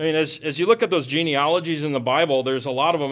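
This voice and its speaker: A man talks in an ordinary speaking voice, rather quickly and with typical pitch movement. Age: 40s. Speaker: pastor. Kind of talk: sermon.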